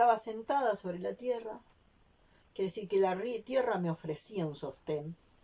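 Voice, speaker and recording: At a moderate pace, a woman speaks at medium pitch in a dark, mellow tone with lively intonation. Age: 60s. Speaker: vlogger. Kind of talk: personal testimony.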